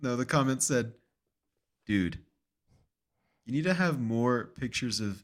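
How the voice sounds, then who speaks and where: A man speaks with lively intonation and an animated tone. His pitch is medium and his pace fairly slow. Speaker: podcast co-host. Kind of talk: casual chat. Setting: remote recording, own apartment. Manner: animated, joking.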